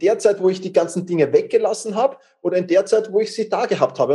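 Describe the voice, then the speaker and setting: At a very fast pace, a man with a Viennese accent speaks in a high pitch with a dark, mellow tone and ordinary pitch variation. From Vienna, Austria. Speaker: time management coach. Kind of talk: interview. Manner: repeats words, stammering starts.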